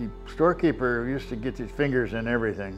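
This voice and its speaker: A man with an American accent over faint music in the background. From US Pacific Northwest, Seattle. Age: 90s. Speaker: war veteran. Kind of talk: interview testimony. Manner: halting. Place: home room. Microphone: lapel.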